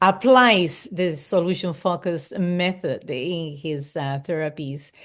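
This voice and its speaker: Against a quiet background, a woman of medium pitch speaks at a very slow pace with ordinary pitch variation. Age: 80s+. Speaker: solution-focused practitioner. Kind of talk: casual chat.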